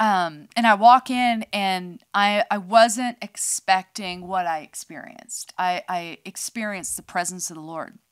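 A woman with an American accent talks at a fairly slow pace with hardly any pauses, big swings in loudness and ordinary pitch variation, over a quiet background. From US West Coast (northern California). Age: 50s. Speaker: podcast co-host. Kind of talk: testimony. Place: studio. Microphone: studio mic.

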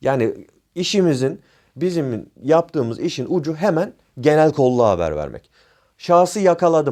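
Male speech at a medium pace, very clean and recorded against total silence. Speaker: private security trainer and YouTuber. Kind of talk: informal tutorial. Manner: improvised, with frequent fillers.

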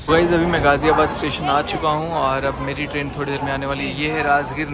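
Loud background noise in a dry sound with no echo. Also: man. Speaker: travel vlogger. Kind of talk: casual vlog chat.

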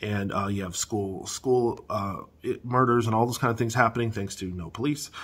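This man talks at a moderate pace with fairly even intonation. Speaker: housing market commentator. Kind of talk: casual vlog commentary. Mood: agitated, opinionated. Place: home room. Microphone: phone near.

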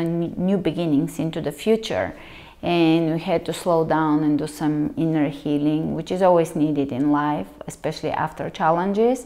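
The speaker talks at a fairly slow pace. Pitch rises and falls in an ordinary way. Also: woman, quiet background. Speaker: yoga instructor. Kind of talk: class introduction talk. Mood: calm, reflective. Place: home room. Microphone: lapel.

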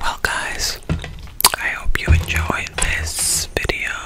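Soft-spoken and whispering at a very slow pace, a woman sounds dry with no echo against loud background noise. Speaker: video creator. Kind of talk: casual vlog chat, ASMR eating video. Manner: soft close-mic ASMR whisper. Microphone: studio mic.

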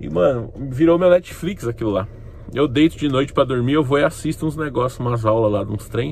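With lively intonation and a fairly quick pace, a man speaks at a medium pitch. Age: 30s. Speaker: YouTuber. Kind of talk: casual vlog monologue. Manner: animated.

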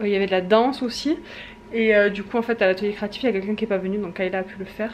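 A woman speaks at a very fast pace against light background noise. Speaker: family vlogger. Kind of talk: casual vlog chat. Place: home room. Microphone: phone near.

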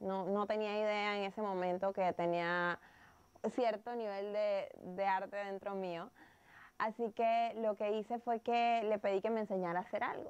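The woman's intonation is monotone and flat. She talks at a fairly slow pace. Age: 30s. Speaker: plant and terrarium entrepreneur; interviewee. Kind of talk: interview. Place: home room. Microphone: lapel.

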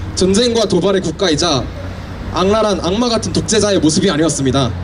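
Crowd noise fills the background as a man speaks in a high pitch with ordinary pitch variation. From South Korea. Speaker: university student speech contestant. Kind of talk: public speech. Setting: outdoors, park entrance with audience. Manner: halting, frequent self-corrections. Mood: earnest, steady. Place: street. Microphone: handheld.

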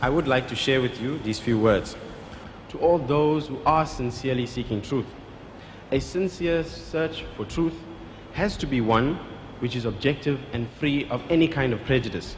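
A man talks at a moderate pace with ordinary pitch variation and long, frequent pauses. Light background noise is present. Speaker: event host. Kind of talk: formal introduction. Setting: stage with audience. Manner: formal. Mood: respectful, earnest. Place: hall. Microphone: podium.

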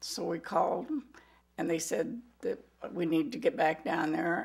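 Very wide pitch swings and vocal fry mark this voice, heard over a quiet background. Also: woman. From US Midwest, Iowa. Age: 70s. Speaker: heart patient. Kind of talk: testimony. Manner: halting. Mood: calm, grateful. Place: kitchen.

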